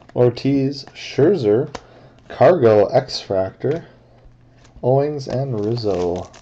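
Long pauses come often. The delivery is very slow. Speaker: card break host. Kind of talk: live card break narration. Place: home room. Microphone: webcam.

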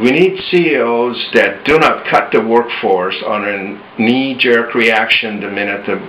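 A man speaks at a fairly slow pace, with medium pitch and ordinary pitch variation. Light background noise sits behind him. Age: 60s. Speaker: author and management consultant. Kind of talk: personal opinion talk to camera. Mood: earnest, hopeful, a bit frustrated.

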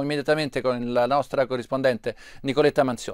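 A man at a very fast pace on a very clean recording with a silent background. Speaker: TV news presenter. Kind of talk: live news broadcast.

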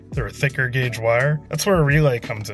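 A man talks with fairly even intonation. Clear music plays in the background. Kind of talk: tutorial. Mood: relaxed, casual. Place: car. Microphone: phone near.

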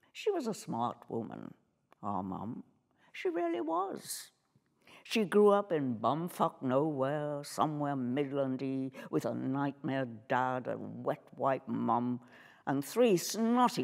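At a very slow pace, a woman speaks in a very deep, low pitch against a quiet background. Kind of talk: dramatic script reading. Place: stage. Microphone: lapel.

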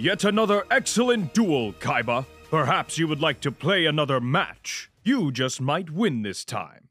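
A man speaks in a cartoonish character voice, fairly high in pitch. His pace is moderate, with faint music in the background.

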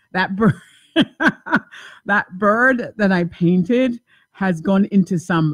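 A somewhat breathy woman speaks at a fairly slow pace. The sound is dry with no echo, over a quiet background. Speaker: talk show host. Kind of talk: call-in radio show talk. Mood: warm, lively, laughing. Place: home room. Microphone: studio mic.

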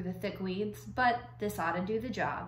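At a moderate pace, a woman talks over light background noise with audible room echo. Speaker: reader of a children's novel. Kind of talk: read-aloud storytelling with character voices. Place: home room. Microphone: phone near.

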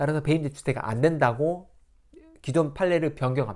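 A man is speaking. The background is quiet. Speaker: lawyer explaining court rulings. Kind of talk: tutorial. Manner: casual, filler-heavy explanation. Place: home room.

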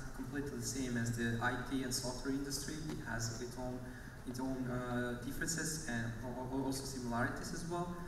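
Amid noticeable background noise and audible room echo, a man talks fairly quickly with fairly even intonation. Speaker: panel moderator. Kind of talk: moderator introduction. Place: stage.

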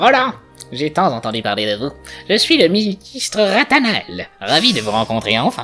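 Faint music plays behind a man doing a squeaky, high-pitched put-on character voice with very wide pitch swings at a moderate pace. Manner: smooth, courteous.

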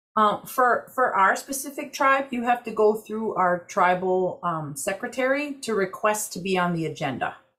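Against a quiet background, a woman speaks with an American accent and hardly any pauses. Her tone is bright and sharp, and her pitch swings very widely. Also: moderate pace. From Wisconsin, Ojibwe community. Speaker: Native tobacco program director, army veteran; presenter. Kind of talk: webinar presentation. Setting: video call.

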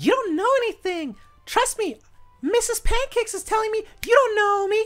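An extremely high-pitched, put-on character voice moves at a moderate pace over music in the background. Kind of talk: casual gameplay commentary. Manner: haughty, self-admiring.

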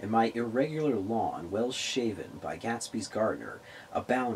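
A passage is read aloud in a natural voice. Intonation remains fairly level across it.

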